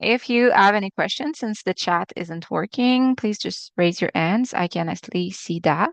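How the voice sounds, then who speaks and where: A woman with a Quebec accent at medium pitch, lively intonation, a moderate pace and hardly any pauses, in a dry, close sound with no echo against a quiet background. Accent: French-Canadian accent in English. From Quebec, Canada. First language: French. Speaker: acupuncturist teaching a webinar. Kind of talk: webinar lecture. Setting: live video webinar. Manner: halting, with many fillers.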